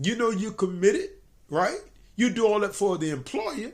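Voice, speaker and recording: A man speaks in an American accent at a high pitch. His intonation is lively. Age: 60s. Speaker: self-employed business owner giving motivational advice. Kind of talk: motivational talk to camera.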